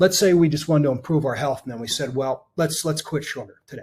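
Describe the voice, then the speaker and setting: A somewhat breathy man in an American accent talks at a very fast pace. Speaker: cybersecurity consultant. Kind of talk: webinar presentation. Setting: online webinar. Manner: many fillers and restarts.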